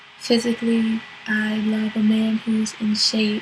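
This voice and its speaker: A soft-spoken woman with an American accent, fairly high pitch and a monotone, flat delivery, with music in the background. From US, Virginia (Portsmouth). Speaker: model. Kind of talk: interview monologue. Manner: hesitant with fillers (um).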